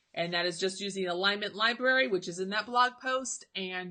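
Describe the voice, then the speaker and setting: At a moderate pace, a woman speaks in a bright, sharp tone, her medium pitch showing ordinary variation. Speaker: embroidery software teacher. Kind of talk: live-stream tutorial with viewer Q&A. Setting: Facebook live stream.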